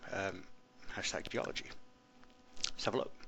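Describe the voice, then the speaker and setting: With an English accent, a man speaks in a bright, sharp tone with ordinary pitch variation, and audible room echo surrounds his voice. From England. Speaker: teacher. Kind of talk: screencast tutorial. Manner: casual, many fillers.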